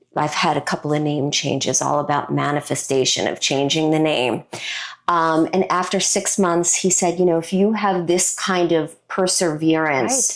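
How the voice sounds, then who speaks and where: A woman speaks with an American accent at a fairly low pitch, with ordinary pitch variation. Her loudness is very even, and the recording is very clean with a silent background. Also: moderate pace. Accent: Brooklyn accent trained away. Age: 50s. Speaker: designer, speaker, former actress. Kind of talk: interview.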